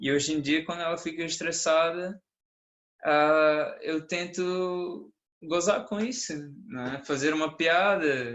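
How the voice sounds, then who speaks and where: Speaking at a very slow pace, a man has a fairly high pitch and ordinary pitch variation. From Brazil. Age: 20s. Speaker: conference speaker, engineering student. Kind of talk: conference talk as a couple. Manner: calm.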